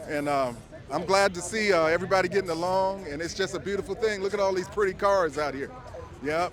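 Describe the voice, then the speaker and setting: Over music in the background, a man talks at a very fast pace with an American accent. His pitch is high, with ordinary pitch variation. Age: 60s. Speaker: lowrider car owner. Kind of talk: casual interview.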